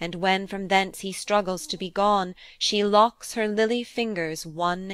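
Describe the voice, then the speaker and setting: Over a silent background in a very clean recording, a woman with a plain, everyday voice speaks at medium pitch and a fairly slow pace, with hardly any pauses. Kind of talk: poem reading aloud. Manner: measured narrative storytelling, building to vivid action.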